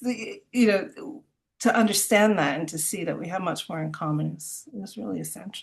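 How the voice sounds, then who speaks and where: A woman with an American accent talks at a moderate pace and medium pitch, with lively intonation, big swings in loudness and vocal fry. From US, Miami and New York. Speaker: composer. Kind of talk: interview. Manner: hesitant, many fillers and repetitions.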